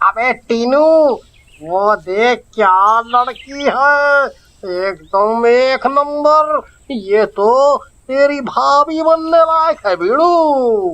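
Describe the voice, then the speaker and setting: Putting on a cartoonish character voice, a man speaks at a very slow pace with an extremely high pitch. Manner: brash, loud.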